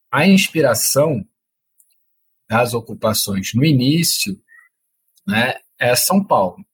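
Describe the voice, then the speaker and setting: Somewhat breathy and fairly high-pitched, a man speaks very slowly with long, frequent pauses, very wide pitch swings and very even loudness. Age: 30s. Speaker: activist and former teacher. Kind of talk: interview.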